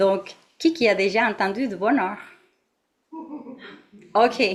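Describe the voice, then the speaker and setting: The pitch of this woman's voice is fairly high and varies in an ordinary way. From Mexico. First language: Spanish (speaking French). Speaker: meditation teacher. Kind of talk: dharma talk to an audience. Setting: meditation centre with live audience and online. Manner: halting, many fillers.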